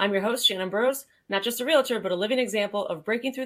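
A woman with a New England accent, very fast and lively in intonation. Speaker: podcast host. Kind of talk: upbeat, scripted podcast intro. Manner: fast talker.

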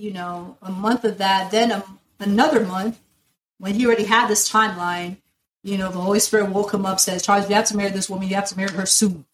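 Medium in pitch, the woman's voice comes across as somewhat breathy. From US, South Florida (born in Nigeria). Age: 20s. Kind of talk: casual interview, personal testimony.

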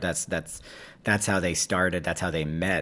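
A man's voice with an American accent on a very clean recording with a silent background. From New York City. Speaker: actor and playwright. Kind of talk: interview. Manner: halting.

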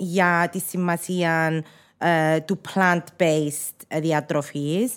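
A woman with a Cypriot accent at a very slow pace. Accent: Cypriot Greek. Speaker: podcast host. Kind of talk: interview. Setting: studio.

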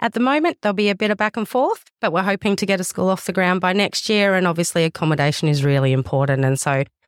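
A woman with an Australian accent speaks at a very fast pace, her intonation lively. The recording is very clean, with a silent background and a dry, close sound with no echo. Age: 30s. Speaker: youth service manager. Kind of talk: interview.

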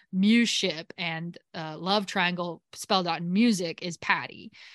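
Against a quiet background, a woman speaks with a plain, everyday voice. Her pitch is fairly low and her intonation fairly even. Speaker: podcast host. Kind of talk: casual chat. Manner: chatty, joking.

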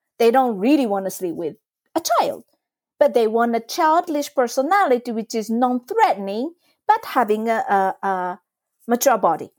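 On a very clean recording with a silent background and a dry, close sound without echo, a woman with a Japanese accent speaks at a moderate pace in a high voice with very wide pitch swings. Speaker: trauma release exercise teacher. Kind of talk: casual interview explanation.

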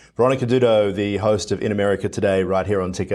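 With an Australian accent, a man talks at a very fast pace with fairly low pitch and ordinary pitch variation. The recording is very clean, with a silent background. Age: 40s. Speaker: news anchor. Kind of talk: news interview.

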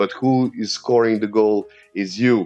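Enthusiastic in tone, a man speaks with an Eastern European accent. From Serbia. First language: Serbian. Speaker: English teacher. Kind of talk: casual interview chat. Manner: repeats words, halting starts.

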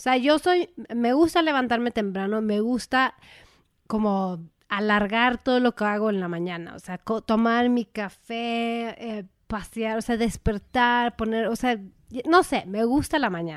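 On a very clean recording with a silent background, a woman with a Mexican accent speaks at a fairly slow pace, her fairly high pitch showing ordinary variation. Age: 30s. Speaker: podcast co-host. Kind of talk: casual chat.

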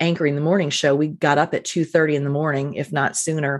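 A woman speaks at a fairly quick pace with an American accent. The background is quiet. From New Jersey, US. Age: 50s. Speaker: podcast host, former TV news anchor, business owner. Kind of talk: interview answers, casual chat.

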